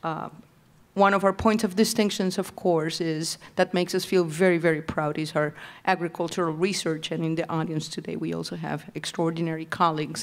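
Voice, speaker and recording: A woman with a Puerto Rican accent, fairly low pitch, monotone and flat intonation, a moderate pace, and a very clean, silent-background recording. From Puerto Rico. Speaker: university president, board member. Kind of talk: formal introduction at public meeting. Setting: public meeting with audience.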